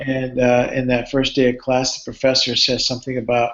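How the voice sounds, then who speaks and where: A man with a Cuban-American accent, medium pitch, moderate pace and monotone, flat intonation. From Cuba, moved to US at eight and a half. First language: Spanish. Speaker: neuropsychology professor. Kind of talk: live Q&A talk. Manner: halting, with frequent fillers and repeats.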